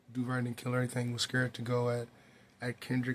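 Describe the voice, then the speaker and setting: A man speaks quietly in a monotone, flat intonation. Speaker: hip-hop commentary youtuber. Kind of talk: casual commentary monologue. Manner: quiet, hushed.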